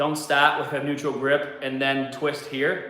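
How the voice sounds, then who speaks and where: Amid noticeable background noise and audible room echo, a man with a Boston accent speaks at a fairly slow pace. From US Northeast (Boston). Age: 40s. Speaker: fitness coach / YouTuber. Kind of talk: casual livestream chat while working out.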